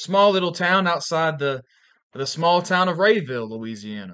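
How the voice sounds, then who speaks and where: In an American accent, a man talks at a moderate tempo. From Valdosta, Georgia, US South. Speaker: pulpit minister, podcast co-host.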